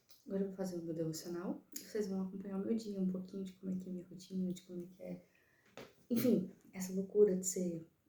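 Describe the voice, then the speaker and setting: Her voice is somewhat breathy with a dark, mellow tone, and the woman speaks at a medium pitch with fairly even intonation but big swings in loudness. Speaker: vlogger, mother and writer. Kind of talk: casual vlog talk to camera. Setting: in a car. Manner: soft-spoken.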